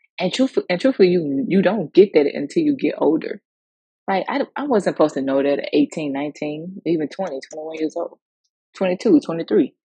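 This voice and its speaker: With an American accent, a woman speaks at a moderate pace in a fairly low, somewhat breathy voice of dark, mellow tone, her pitch swinging very widely and her loudness swinging a lot, all in a dry, close sound with no echo. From US South, Mississippi. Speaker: podcast host. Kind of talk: personal monologue on faith and mental health. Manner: casual, conversational with fillers.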